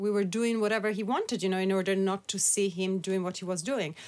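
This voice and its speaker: A woman speaks at a medium pitch with an Italian accent. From Italy. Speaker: author and activist. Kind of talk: interview.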